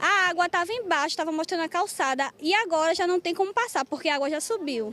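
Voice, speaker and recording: In a Pernambuco accent, a woman speaks with ordinary pitch variation. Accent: Pernambuco Brazilian Portuguese. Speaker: local resident interviewed. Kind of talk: street interview complaint. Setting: outdoors on location in flooded street.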